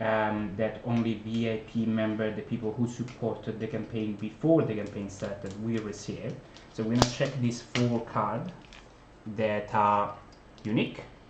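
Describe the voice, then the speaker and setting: With a non-native accent, a man of fairly low pitch talks at a moderate pace and fairly even intonation amid noticeable background noise and audible room echo. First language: not English. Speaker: board game designer and publisher. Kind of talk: unboxing video, casual talk to viewers. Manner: hesitant, many fillers.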